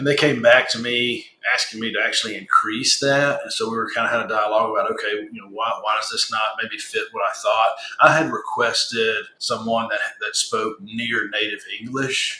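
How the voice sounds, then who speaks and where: Man with a Southern US accent over noticeable background noise. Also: moderate pace. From US South. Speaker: business owner, client testimonial. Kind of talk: interview testimonial. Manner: casual, with frequent fillers and repetitions.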